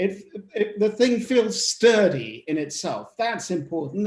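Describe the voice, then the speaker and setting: In an English accent, a man talks at a fairly slow pace with ordinary pitch variation. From England (Norfolk). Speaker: novelist. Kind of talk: panel discussion. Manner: halting, repeats words.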